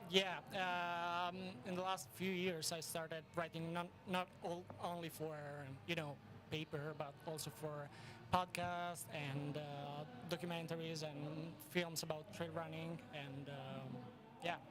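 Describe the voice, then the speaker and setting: A high-pitched man with an Italian accent speaks fairly slowly in monotone, flat intonation, leaving long, frequent pauses. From northern Italy, Vicenza. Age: 20s. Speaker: sports writer. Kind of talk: interview. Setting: outdoors at race finish line.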